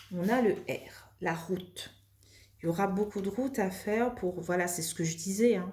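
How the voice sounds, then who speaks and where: A soft-spoken, somewhat breathy woman's voice in a calm tone, at a moderate pace with ordinary pitch variation. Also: medium pitch for a woman. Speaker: tarot card reader. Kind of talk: tarot reading. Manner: calm, soft; hesitant, many fillers.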